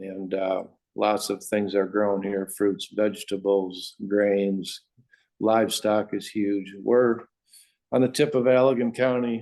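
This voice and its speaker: A man's dark, mellow voice, fairly low-pitched, with fairly even intonation and an American accent. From West Michigan, US. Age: 60s. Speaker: farmer. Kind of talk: interview. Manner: halting.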